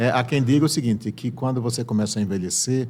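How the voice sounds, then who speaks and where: The intonation holds fairly even. Words come at a very fast pace. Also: man. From Sergipe, Brazil (Santo Amaro das Brotas). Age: 70s. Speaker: veteran journalist and broadcaster. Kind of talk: casual interview. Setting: studio.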